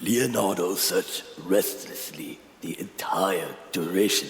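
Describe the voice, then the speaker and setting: A man puts on a character voice with a solemn tone. He speaks at a fairly slow pace, with slight echo. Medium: audio drama. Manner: formal, solemn.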